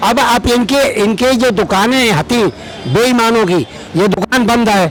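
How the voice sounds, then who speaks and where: A man talks with an extremely high pitch, ordinary pitch variation and very even loudness over noticeable background noise. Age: 70s. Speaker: member of the public. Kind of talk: street interview.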